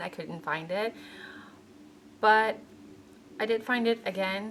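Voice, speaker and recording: Speaking very slowly with a non-native accent, a woman has a fairly high pitch. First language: not English. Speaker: beauty vlogger. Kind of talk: makeup product review vlog. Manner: casual, with self-corrections.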